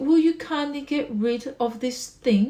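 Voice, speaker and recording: Shouting in a put-on character voice, a woman speaks high-pitched and fairly slowly. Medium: read story. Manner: shouting, scoffing.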